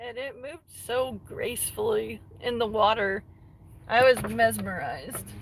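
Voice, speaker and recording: Talking at a fairly slow pace, a woman shows big swings in loudness. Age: 30s. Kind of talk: casual livestream chat.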